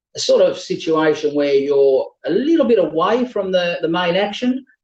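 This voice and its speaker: With an Australian accent, a man talks at a high pitch and moderate pace, his intonation lively. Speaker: auctioneer. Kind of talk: online property auction address. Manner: fluent, conversational with frequent filler pauses.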